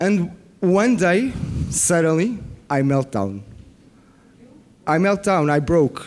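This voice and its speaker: Very slowly, with long, frequent pauses, a man speaks at a high pitch, his loudness very even while his pitch swings very widely. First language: not English. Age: 40s. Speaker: biofeedback practitioner. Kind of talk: conference workshop presentation. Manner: halting; animated.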